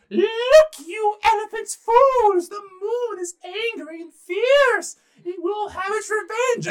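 This put-on character voice is extremely high-pitched and loud. It moves at a very slow pace. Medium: read story. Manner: grand, proclamatory, shouting.

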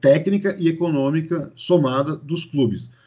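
This is a man speaking with a São Paulo accent. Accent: São Paulo Brazilian Portuguese. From Brazil, São Paulo. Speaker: sports marketing consultant. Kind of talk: podcast interview.

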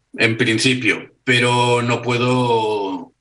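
With a bright, sharp tone, a man speaks in a monotone, flat intonation. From Barcelona, Spain. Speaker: Star Trek fan and artist. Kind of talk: casual interview. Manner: halting with repetitions.

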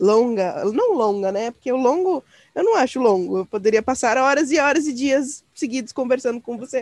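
A woman with a high pitch speaks at a moderate pace with lively intonation, in a dry, close sound with no echo. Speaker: podcast host. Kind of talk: casual interview chat.

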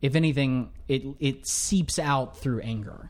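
Speaking at a moderate pace with an ordinary speaking voice, a man talks at a fairly high pitch with fairly even intonation on a very clean recording with a silent background. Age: 20s. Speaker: podcast guest, new father. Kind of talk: casual chat.

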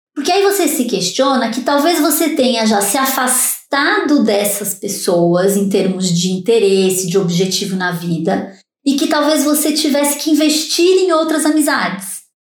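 A woman speaks with a high pitch, at a fairly slow pace and with hardly any pauses. Her pitch swings very widely, her loudness stays very even, and room echo is audible. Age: 50s. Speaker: neuroscientist. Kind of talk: interview.

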